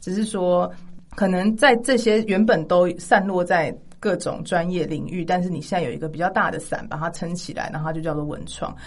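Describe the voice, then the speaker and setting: In a room with audible echo, a woman speaks at a fairly quick pace, her fairly low voice showing ordinary pitch variation. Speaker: music graduate who studied in the UK. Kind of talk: casual chat.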